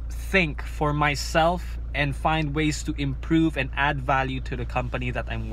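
A man is speaking. The sound is dry, with no echo. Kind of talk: casual vlog chat. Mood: reflective, candid about failing. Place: car. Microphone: phone near.

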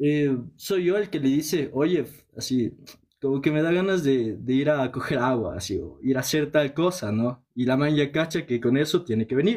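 In a quiet background, a man with a Quito accent speaks at a moderate pace, his fairly high voice carrying lively intonation. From Ecuador, Quito; Ecuador. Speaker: caller. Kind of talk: casual chat. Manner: hesitant, many fillers. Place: home room. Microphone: phone near.

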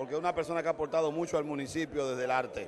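Noticeable noise sits in the background. A man speaks with ordinary pitch variation. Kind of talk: interview answer. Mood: celebratory, praising. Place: hall. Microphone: handheld.

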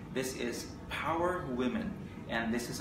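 Someone with a Filipino accent talks with ordinary pitch variation, with audible room echo and noticeable background noise. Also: man. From Philippines. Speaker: online news editor and interviewer. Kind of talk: interview. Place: studio. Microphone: camera far.

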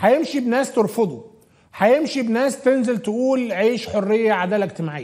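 The delivery is animated, at a moderate pace with ordinary pitch variation. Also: man. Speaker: TV talk show host. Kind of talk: political talk show commentary. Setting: studio. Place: studio. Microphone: lapel.

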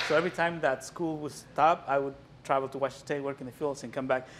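With a Mexican accent, a man speaks over light background noise. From Mexico. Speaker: visual artist. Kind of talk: gallery walkthrough talk. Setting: gallery with live audience. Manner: halting. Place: hall. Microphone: camera far.

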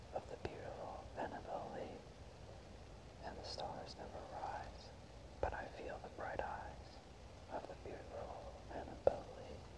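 Loud background noise fills the clip. Over it, a man talks at a fairly slow pace. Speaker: ASMR poetry reader. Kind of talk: poetry reading, ASMR. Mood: calm, melancholy. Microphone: lapel.

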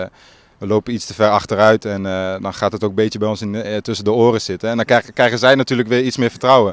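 Fairly even intonation with a dry sound and no echo. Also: man. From Groningen province, Netherlands (Marum); Groningen, Netherlands. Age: young. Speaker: football player, team captain. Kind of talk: interview. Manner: halting. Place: open country. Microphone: handheld.

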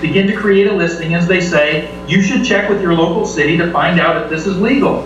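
This man talks at a fairly quick pace with a high pitch and ordinary pitch variation. There is audible room echo and light background noise. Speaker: home sharing host at public meeting. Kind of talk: public meeting statement. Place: bar.

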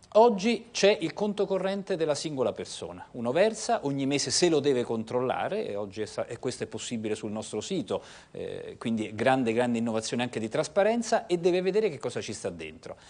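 With vocal fry, a man speaks at a fairly quick pace. His fairly high pitch moves in very wide swings. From Italy. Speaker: public pension agency head; guest. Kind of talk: TV interview. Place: studio.

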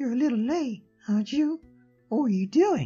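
A put-on character voice at a fairly high pitch plays over faint music in the background. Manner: scolding, stern.

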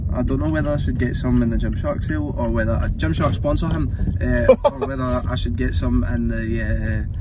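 A man talks at a fairly quick pace, the sound dry with no echo and noticeable background noise behind him. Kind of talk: casual vlog chat. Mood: joking, relaxed banter. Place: car. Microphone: phone near.

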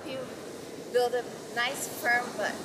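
A woman talks at a fairly slow pace over noticeable background noise. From Brazil. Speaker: fitness model. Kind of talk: workout tutorial. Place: beach.

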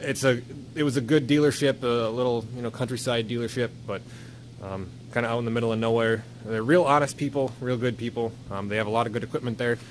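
A man speaks at a very fast pace with fairly even intonation. Light background noise can be heard. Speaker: owner doing tractor maintenance. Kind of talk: casual vlog chat. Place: workshop. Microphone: phone near.

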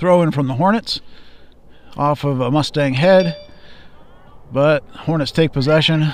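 A man speaks in a relaxed tone at a fairly slow pace with long, frequent pauses and ordinary pitch variation, the sound dry with no echo and light background noise. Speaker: high school soccer commentator. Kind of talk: live commentary. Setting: outdoors at a soccer field, streaming live. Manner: relaxed, conversational, casual asides between plays. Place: stadium. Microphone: camera far.

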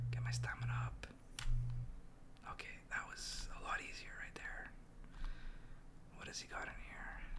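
Noticeable background noise sits behind a man talking at a fairly slow pace. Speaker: gamer. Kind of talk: casual gaming commentary to camera.

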